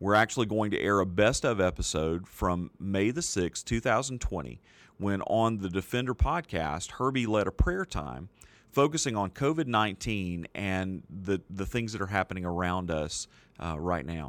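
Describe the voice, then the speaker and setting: On a very clean recording with a silent background, a man uses an ordinary speaking voice at a fairly low pitch and a moderate pace, with lively intonation. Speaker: podcast host. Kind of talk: episode introduction.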